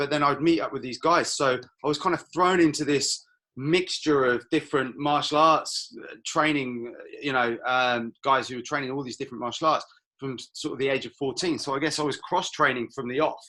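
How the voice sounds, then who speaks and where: A man with a fairly high pitch and a bright, sharp tone talks at a fairly quick pace. His intonation stays fairly even while his loudness swings widely. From Canary Islands (Lanzarote). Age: 40s. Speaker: martial arts instructor. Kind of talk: interview. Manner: casual, hesitant with fillers.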